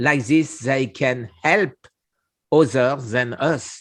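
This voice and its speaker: With lively intonation and a French accent, the voice comes through on a very clean recording with a silent background. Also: man. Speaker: cancer survivor, channel host. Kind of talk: casual interview conversation. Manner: halting.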